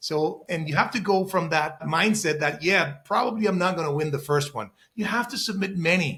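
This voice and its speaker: A bright, sharp tone in a non-native accent, with ordinary pitch variation. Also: man. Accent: foreign. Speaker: real estate investor. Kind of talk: interview.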